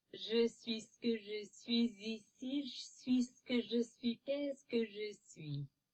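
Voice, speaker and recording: A female-sounding put-on character voice, fairly high in pitch, moves at a fairly slow pace with hardly any pauses. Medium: solo performance. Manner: flat, monotone.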